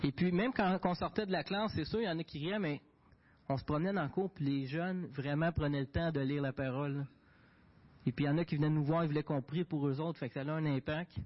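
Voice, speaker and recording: This man talks very fast in a Quebec accent, his voice somewhat breathy. His pitch is fairly high, with ordinary pitch variation. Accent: Québécois French. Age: young. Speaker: diesel mechanic and volunteer for a Bible-distribution association. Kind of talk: testimony and mission report at a church service. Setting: church.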